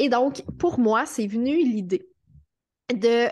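A very slow pace carries speech with ordinary pitch variation. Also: woman. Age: 30s. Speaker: writer and podcast host. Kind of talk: interview conversation.

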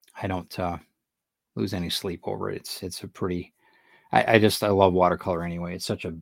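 A man's very deep, low voice at a moderate pace with fairly even intonation, on a very clean recording with a silent background. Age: 50s. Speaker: artist and author hosting a channel. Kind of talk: casual live-stream chat while drawing. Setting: live video stream. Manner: halting with frequent fillers.

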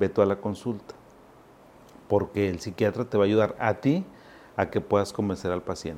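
A man talks with a fairly low pitch and ordinary pitch variation. His pace is moderate. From Zacatecas, Mexico; raised in Monterrey from age 7. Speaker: psychiatrist. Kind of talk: educational talk to camera. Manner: animated; conversational.

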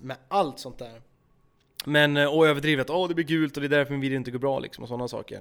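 Here a man races at a very fast pace with a fairly high pitch. His intonation is fairly even, though his loudness swings widely. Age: 20s. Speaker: YouTuber and gaming streamer. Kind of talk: casual chat.

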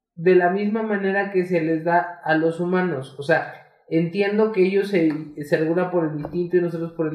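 At a fairly slow pace, a man with a Mexican accent speaks in a high pitch. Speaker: podcast co-host. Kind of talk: casual chat.

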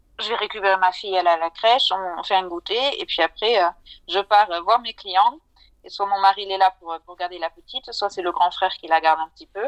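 A woman with an ordinary speaking voice, medium in pitch, at a fairly quick pace, with ordinary pitch variation, big swings in loudness, and a dry, close sound with no echo. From southern France. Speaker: financial advisor. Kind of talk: interview.

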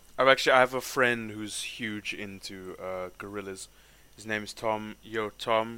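A man speaks with a South African accent in a fairly low pitch. His tone is bright and sharp, with big swings in loudness. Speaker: rapper and podcast host. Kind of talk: casual chat. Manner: casual, laughs often.

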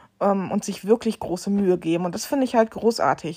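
A plain, everyday voice from a woman at a medium pitch, on a very clean recording with a silent background. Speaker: podcast host. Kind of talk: casual monologue.

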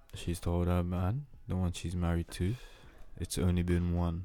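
A man speaks in a very deep, low voice with a dark, mellow tone, leaving long, frequent pauses on a very clean recording with a silent background. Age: 20s. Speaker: podcast host. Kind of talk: casual banter podcast chat. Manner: monotone.

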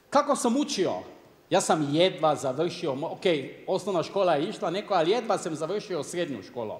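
Very wide pitch swings in a man's high voice, moderately paced. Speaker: company director. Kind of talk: motivational personal story. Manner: halting.

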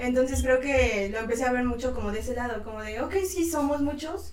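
A woman with a central Mexican accent speaks at a moderate pace with ordinary pitch variation, amid noticeable background noise and audible room echo. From Mexico, Tlaxcala. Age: 20s. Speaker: photojournalist. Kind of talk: casual interview chat.

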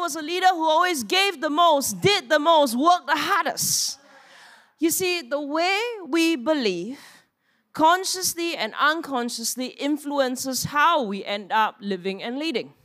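With lively intonation, a woman talks in a raised, projected voice at a moderate pace. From Singapore. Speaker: pastor. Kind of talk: sermon. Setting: church.

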